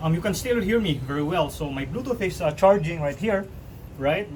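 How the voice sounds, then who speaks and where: A man with a high voice talks fairly fast, his pitch shifting in a normal way. Noticeable noise fills the background. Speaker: YouTuber doing product unboxing. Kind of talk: casual unboxing tutorial. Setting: outdoors on a balcony. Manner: softer, toned down.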